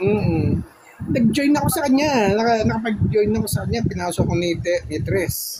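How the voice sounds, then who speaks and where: Noticeable background noise sits behind a man who talks at a moderate pace with a high pitch and lively intonation. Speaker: live stream participant. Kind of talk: casual chat.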